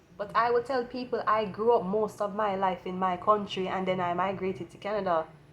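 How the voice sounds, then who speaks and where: A woman speaks at a fairly quick pace with hardly any pauses. Her pitch is medium and her intonation fairly even. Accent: Jamaican. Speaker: tarot reader. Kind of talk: tarot reading.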